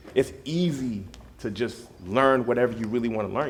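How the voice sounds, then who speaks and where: Through audible room echo, a man with an American accent talks at a fairly quick pace with ordinary pitch variation. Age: 30s. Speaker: DJ. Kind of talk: motivational talk to students. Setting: school study hall with students. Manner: casual, conversational.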